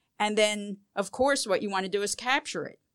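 A woman speaks in a normal speaking voice at a moderate pace, her pitch fairly high. The recording is very clean, with a silent background. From US Northeast, Philadelphia. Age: 60s. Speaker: sculptor and artist. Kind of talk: interview. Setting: studio.

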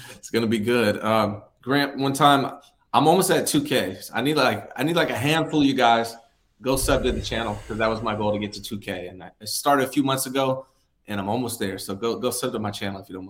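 At a fairly quick pace, a man with a medium pitch and a normal speaking voice shows ordinary pitch variation and big swings in loudness. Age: 40s. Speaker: sports podcast co-host. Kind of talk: casual chat. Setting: video call.

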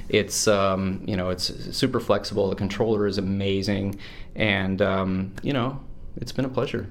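At a moderate pace, a man speaks in a normal speaking voice with a fairly low pitch and fairly even intonation. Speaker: game developer. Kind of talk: interview.

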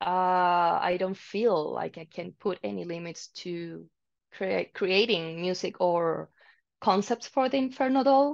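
A woman with a Spanish accent speaks at a very slow pace with lively intonation against a quiet background. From Chile, Santiago. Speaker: metal singer. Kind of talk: interview.

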